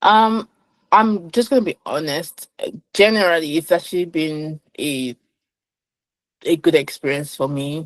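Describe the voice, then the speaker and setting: A woman speaks at a fairly slow pace with a fairly low pitch and lively intonation, leaving long, frequent pauses. The sound is dry and close, with no echo. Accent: Nigerian. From Nigeria. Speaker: finance professional. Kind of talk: interview conversation.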